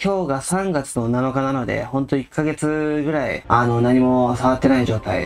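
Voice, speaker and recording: Music plays in the background as a man talks at a moderate pace, his medium pitch showing ordinary pitch variation. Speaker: game streamer. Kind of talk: casual gameplay commentary.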